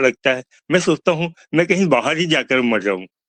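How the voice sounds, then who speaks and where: A man talks in a normal speaking voice. His pitch varies in an ordinary way. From Chhattisgarh, India (Bilaspur). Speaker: author. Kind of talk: interview.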